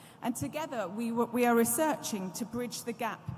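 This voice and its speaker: A woman speaks with a British accent and ordinary pitch variation. Noticeable background noise and audible room echo surround her. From UK. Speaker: law professor, panel moderator. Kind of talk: conference moderation speech. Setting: stage at conference with audience. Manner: formal.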